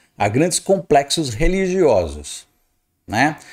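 A man with vocal fry speaks at a fairly slow pace in an animated tone, against a quiet background. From Brazil. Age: 50s. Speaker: astrologer; astrologer commentator. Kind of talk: video commentary monologue. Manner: animated, emphatic. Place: home room. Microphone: studio mic.

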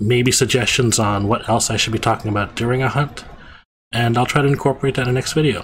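A man talks at a medium pitch with ordinary pitch variation. His tone is fairly bright.

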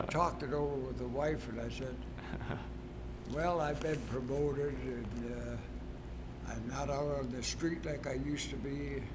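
With noticeable background noise, a man talks at a moderate pace. He leaves long, frequent pauses. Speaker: retired track coach. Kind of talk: interview answer. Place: gym.

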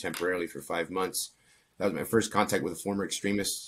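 A man with an American accent speaks at a very fast pace over light background noise. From Pennsylvania, US. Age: 30s. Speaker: former extremist turned counter-extremism researcher; interview guest. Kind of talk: interview. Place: home room. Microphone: earbuds.

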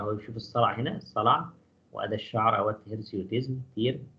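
A man's medium-pitched voice with an Egyptian accent, fairly quick pace, ordinary pitch variation and audible room echo. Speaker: physiology professor. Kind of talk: lecture.

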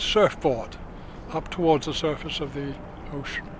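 Speaking at a moderate pace with fairly even intonation, a man is heard in a dry sound with no echo and noticeable background noise. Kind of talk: interview answer. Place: boat.

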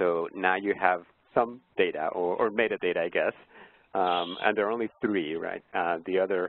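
Fairly even in intonation, a man speaks at a very deep, low pitch. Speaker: professor and ecohydrology modeler. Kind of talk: online project meeting. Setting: video call.

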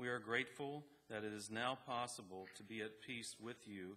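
This man has a fairly low pitch and a bright, sharp tone. He speaks at a moderate pace. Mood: solemn, calm. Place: church. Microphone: podium.

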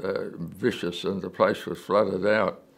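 A man with an Australian accent speaks at a very slow pace in a fairly low pitch. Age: 80s+. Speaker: war veteran. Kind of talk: interview answer. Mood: calm reminiscing, many hesitations. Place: home room. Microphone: lapel.

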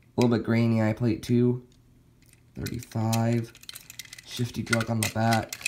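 Over noticeable background noise, the speaker keeps a moderate pace broken by long, frequent pauses. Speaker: toy car collector vlogger. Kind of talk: casual product comparison. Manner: casual, hesitant. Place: home room. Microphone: phone near.

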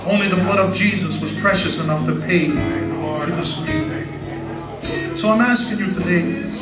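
Over loud background music, a man talks at a fairly slow pace. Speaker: preacher. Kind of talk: sermon. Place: church. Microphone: handheld.

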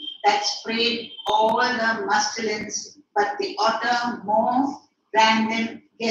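Someone is reading aloud in a natural voice with fairly even intonation against a quiet background.

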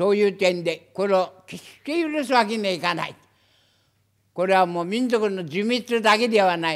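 On a very clean recording with a silent background, a man with a high voice speaks at a moderate pace, with ordinary pitch variation. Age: 80s+. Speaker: former journalist. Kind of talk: press conference statement. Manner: forceful, impassioned.

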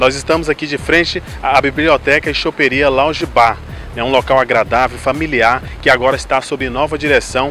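A man at a moderate pace, dry sound with no echo, and faint music in the background. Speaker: local news reporter. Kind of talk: news stand-up report. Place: bar. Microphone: handheld.

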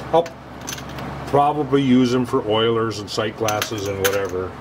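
A man at a moderate pace, fairly even in intonation, over noticeable background noise. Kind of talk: casual workshop tutorial. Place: workshop. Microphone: camera far.

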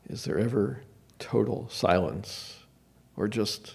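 A soft-spoken man with an American accent talks at a very slow pace in a calm tone, his fairly low pitch carrying vocal fry. His intonation is lively. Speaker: meditation leader. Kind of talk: guided meditation. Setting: church service with audience. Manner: slow, calm, with long pauses; soft-spoken, gentle. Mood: calm, contemplative. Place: hall. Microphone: podium.

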